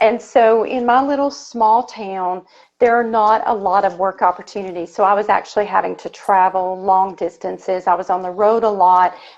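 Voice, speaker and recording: Ordinary pitch variation marks a woman's moderately paced speech. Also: medium pitch for a woman, hardly any pauses. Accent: Southern US. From Tennessee, US South. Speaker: bookkeeper, business owner. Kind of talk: interview.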